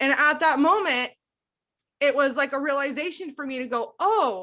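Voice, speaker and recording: A woman's high-pitched voice comes across bright and sharp, raised and projected. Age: 20s. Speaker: abuse recovery coach and podcast host. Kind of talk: emotional personal testimony in coaching session.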